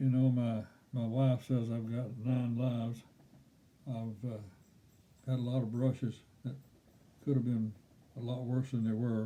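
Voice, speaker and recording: With a dark, mellow tone and medium pitch, a man talks in a monotone, flat intonation at a fairly slow pace, taking long, frequent pauses. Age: 80s+. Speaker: storyteller. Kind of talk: personal storytelling.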